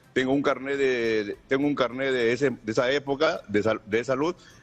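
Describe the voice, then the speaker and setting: Pitch varies in an ordinary way as a man speaks at a fairly quick pace. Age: 60s. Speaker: caller. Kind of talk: call-in question. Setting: phone call. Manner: halting.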